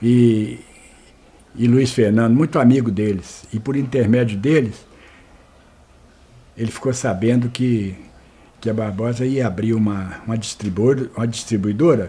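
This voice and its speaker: A man speaks fairly slowly with long, frequent pauses. His tone is dark and mellow, and somewhat breathy. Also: medium pitch for a man, fairly even intonation. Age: 70s. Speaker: retired store manager, oral history interviewee. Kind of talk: oral history interview. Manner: halting, many repetitions and false starts.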